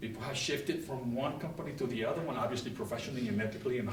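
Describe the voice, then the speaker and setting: With a Spanish accent, a man talks at a very fast pace and medium pitch with lively intonation, amid audible room echo and noticeable background noise. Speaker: property management executive. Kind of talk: guest lecture to students. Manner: unscripted, spontaneous; talkative, halting with repetitions.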